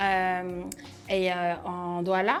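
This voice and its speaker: This is a woman speaking. Her pitch is medium. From France. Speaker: startup director and event organizer. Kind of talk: interview. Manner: hesitant with frequent fillers.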